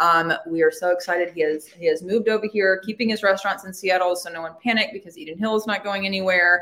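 A very fast pace in a Southern US accent, fairly even intonation, and noticeable background noise. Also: woman. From Alabama. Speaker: podcast host. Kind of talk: casual interview.

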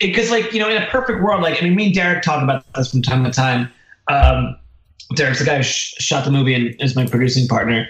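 A man with an American accent speaks very fast in a fairly high voice, swinging very widely in pitch while keeping his loudness very even, over noticeable background noise. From southern New Jersey, Philadelphia area. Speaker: documentary filmmaker. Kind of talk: casual interview chat.

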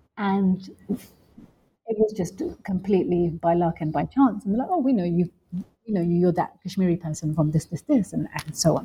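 Somewhat breathy and dark, mellow in tone, a woman speaks at a moderate pace with a fairly low pitch and ordinary pitch variation. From London, England. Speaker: professor. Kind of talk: interview. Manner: hesitant fillers.

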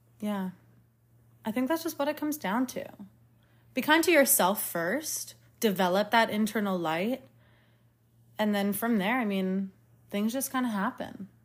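A woman speaks at a moderate pace in a fairly high, somewhat breathy voice with lively intonation and long, frequent pauses. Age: 20s. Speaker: podcast host, physical therapist. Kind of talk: casual interview.

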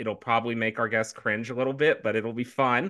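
Over a quiet background, a man with a medium pitch and a bright, sharp tone speaks with ordinary pitch variation. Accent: American. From US South. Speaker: podcast co-host, marketing consultant. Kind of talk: casual interview chat.

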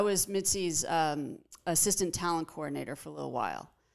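A woman's fairly low voice at a moderate pace, in a Californian accent, on a very clean recording with a silent background. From Los Angeles, Pacific Palisades. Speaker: comedian. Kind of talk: casual chat.

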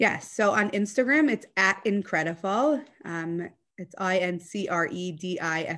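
At a fairly slow pace, a woman with an American accent, an unremarkable speaking voice and medium pitch speaks with lively intonation. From US South (Atlanta, Georgia). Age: 30s. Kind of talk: personal interview, emotional testimony. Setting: video call.

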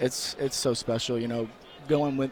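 A man's medium-pitched, monotone, flat delivery over noticeable background noise. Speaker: college football player. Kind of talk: post-game interview. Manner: halting.

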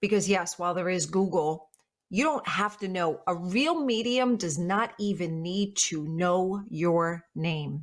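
At a fairly slow pace, a woman speaks in an unremarkable speaking voice with medium pitch and ordinary pitch variation. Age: 50s. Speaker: psychic medium. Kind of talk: casual chat.

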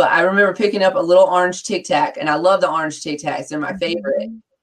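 A woman talks in a normal speaking voice. It sits fairly low in pitch, with lively intonation. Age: 40s. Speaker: podcast co-host. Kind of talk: casual chat. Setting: livestream.

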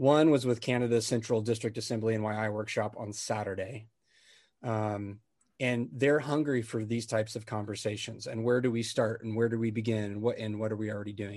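Against a quiet background, the speech runs at a fairly quick pace with monotone, flat intonation. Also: man. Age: 40s. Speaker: ministry network leader. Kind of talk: casual interview.

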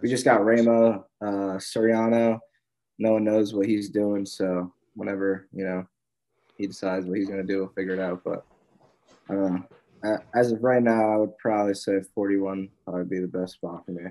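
In a dark, mellow tone, a man speaks at a fairly low pitch with monotone, flat intonation. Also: moderate pace. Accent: American. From New Jersey. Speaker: college wrestler. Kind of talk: interview.

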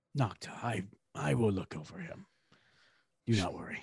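A man puts on a character voice, fairly low in pitch with very wide swings, at a moderate pace. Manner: defiant, principled.

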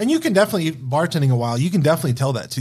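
Very fast and somewhat breathy, a man talks with an American accent. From Wyoming and Denver, US Mountain West. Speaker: bartender. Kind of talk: casual chat.

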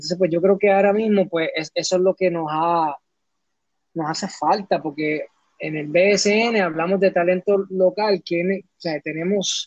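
Pitched high, a man talks at a fairly slow pace with fairly even intonation. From Puerto Rico (Camuy), raised in New York until 14. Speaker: historian and author. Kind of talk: interview. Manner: halting, many repetitions.

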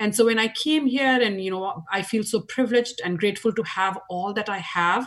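The speaker talks at a fairly quick pace with an Indian accent, lively intonation and a somewhat breathy sound. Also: woman. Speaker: nonprofit board chair. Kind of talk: interview.

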